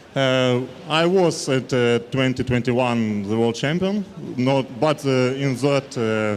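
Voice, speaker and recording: At a fairly slow pace, a man talks in a medium pitch with ordinary pitch variation and very even loudness. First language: not English. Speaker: athlete. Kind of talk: interview. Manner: halting.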